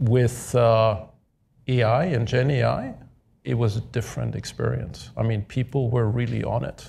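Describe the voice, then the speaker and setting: A man with a German accent, medium pitch and ordinary pitch variation, somewhat breathy in a dark, mellow tone, at a moderate pace in a very clean recording with a silent background. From Germany. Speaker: podcast host, tech executive. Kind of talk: live panel discussion.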